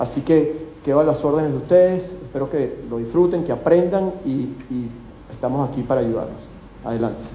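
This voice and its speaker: A man with a Venezuelan accent and ordinary pitch variation, with audible room echo and noticeable background noise. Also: fairly high pitch for a man, moderate pace. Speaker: company executive presenting at investment seminar. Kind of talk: live seminar talk. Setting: hotel event with live audience.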